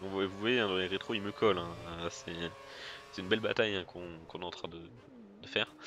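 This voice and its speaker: At a fairly quick pace, the delivery shows ordinary pitch variation. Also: man. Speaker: gaming youtuber. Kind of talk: gameplay commentary. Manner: fast; hesitant, many fillers.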